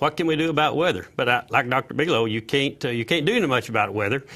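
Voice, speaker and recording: A man with a Southern US accent talks at a very fast pace and a fairly high pitch. His bright, sharp tone carries vocal fry and lively intonation. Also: very clean recording, silent background. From Tennessee. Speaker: agricultural sales director. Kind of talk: live TV panel interview. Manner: halting, many fillers.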